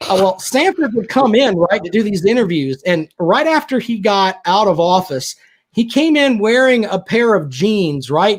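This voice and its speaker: A high-pitched man with a Southern accent speaks at a moderate pace with very wide pitch swings and very even loudness. The recording is very clean with a silent background. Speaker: sports radio personality. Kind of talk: casual chat. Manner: animated.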